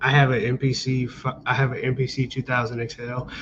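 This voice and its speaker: Using an unremarkable speaking voice, a man talks at a medium pitch and a moderate pace. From US, Maryland (Montgomery County, near DC). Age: 30s. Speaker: beat producer. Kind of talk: interview.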